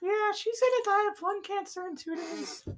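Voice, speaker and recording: An extremely high, squeaky, put-on character voice. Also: moderate pace. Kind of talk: comic improv. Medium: comedy sketch. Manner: rambling, distracted.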